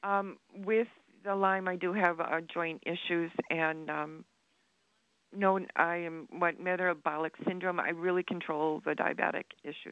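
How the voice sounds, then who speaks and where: Speaking at a fairly slow pace, a woman keeps a fairly low pitch and a monotone, flat intonation. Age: 70s. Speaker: caller, retired teacher. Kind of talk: phone-in question. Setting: phone call.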